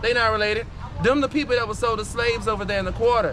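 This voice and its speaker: Over noticeable background noise and audible room echo, a man with a high voice speaks at a very fast pace with ordinary pitch variation. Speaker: voodoo priest and tour guide. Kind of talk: guided tour talk to a group. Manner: animated.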